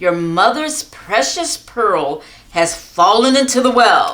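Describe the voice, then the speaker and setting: A woman uses a put-on character voice at a fairly high pitch. She speaks at a fairly slow pace, her pitch swinging very widely. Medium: read story. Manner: slow, drowsy.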